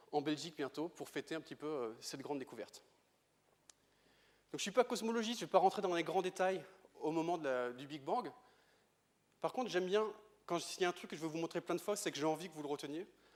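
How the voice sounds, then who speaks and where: Speaking at a very fast pace with long, frequent pauses, a man with a high pitch uses ordinary pitch variation and big swings in loudness. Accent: Breton. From Brittany, France. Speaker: astrophysicist. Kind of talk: lecture. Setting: stage with audience.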